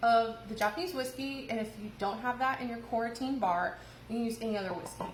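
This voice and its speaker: There is noticeable background noise and audible room echo. A woman with an American accent speaks at a fairly high pitch. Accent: Midwestern, comes out at times. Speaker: bartender. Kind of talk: cocktail tutorial. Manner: casual, lots of filler words.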